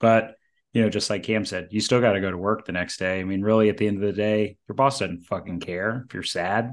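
Speaking at a fairly quick pace with fairly even intonation, a man with a normal speaking voice and fairly low pitch talks over a quiet background. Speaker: podcast host. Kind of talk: casual interview.

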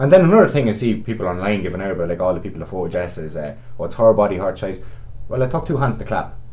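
A man with a Meath Irish accent and a fairly low pitch speaks at a very fast pace with lively intonation amid audible room echo. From Navan, County Meath, Ireland. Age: 20s. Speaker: sports shop worker. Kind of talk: casual chat.

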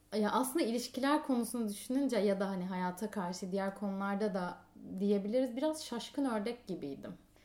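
This is a woman with a normal speaking voice. She talks at a fairly quick pace with fairly high pitch. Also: ordinary pitch variation. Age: 20s. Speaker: podcast guest. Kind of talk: casual chat.

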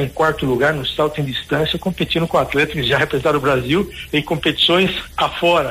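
A man with an ordinary speaking voice talks fairly quickly at a fairly high pitch with fairly even intonation. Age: 50s. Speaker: professor and charity founder. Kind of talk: radio interview. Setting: phone call.

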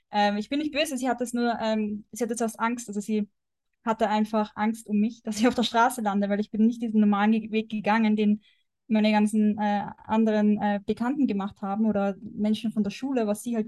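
A woman speaks at a fairly quick pace, her fairly high pitch held in a flat monotone. Her voice is somewhat breathy against a quiet background. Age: 20s. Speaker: wellness coach. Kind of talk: casual chat.

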